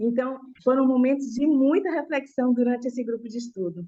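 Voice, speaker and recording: Speaking at a moderate pace, a woman has a high pitch and a dark, mellow tone. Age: 60s. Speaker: student, educator. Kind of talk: class testimony.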